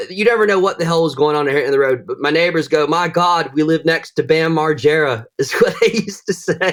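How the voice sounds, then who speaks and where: With a Southern US accent, a man talks at a fairly quick pace in a fairly high pitch, hardly pausing at all. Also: ordinary pitch variation. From US South, northwest Florida. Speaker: bladesmith. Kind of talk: casual chat. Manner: animated.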